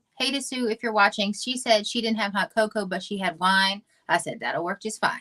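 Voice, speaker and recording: A woman with a slight Southern US accent, a bright, sharp tone and fairly high pitch, at a fairly quick pace with ordinary pitch variation, in a dry, close sound with no echo. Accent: Southern twang, slight. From US South, Georgia. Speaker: model and actress. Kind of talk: casual chat.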